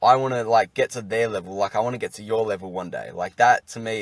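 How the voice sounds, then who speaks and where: A man's fairly low voice with an Australian accent, very fast pace and fairly even intonation, in a dry, close sound with no echo. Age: young. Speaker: podcast host. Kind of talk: casual interview.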